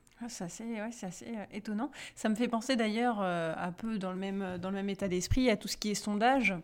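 Everything is captured on a very clean recording with a silent background. The speaker moves at a fairly quick pace. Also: woman, medium pitch for a woman, fairly even intonation. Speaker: podcast co-host. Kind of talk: casual chat.

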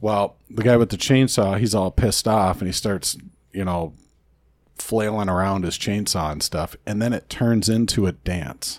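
A man's ordinary speaking voice, fairly low in pitch, with ordinary pitch variation, a moderate pace and a very clean recording over a silent background. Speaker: podcast co-host. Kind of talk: casual chat.

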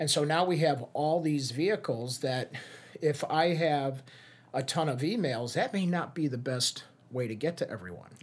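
With a Chicago accent, a man talks in a fairly high voice with lively intonation. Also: moderate pace. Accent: Chicago-area American. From US Midwest, Chicago area. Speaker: social media strategist. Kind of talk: casual interview.

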